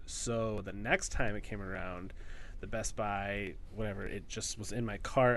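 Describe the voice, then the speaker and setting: A man's monotone, flat delivery with audible room echo. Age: 30s. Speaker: podcast co-host. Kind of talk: casual chat.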